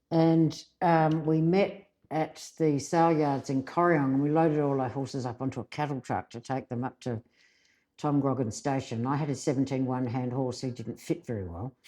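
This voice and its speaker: This voice has a dark, mellow tone and an Australian accent. It moves at a moderate pace with ordinary pitch variation. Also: woman, very deep, low pitch for a woman. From South Australia, Adelaide Hills. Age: 60s. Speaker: rural radio journalist. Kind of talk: casual interview chat.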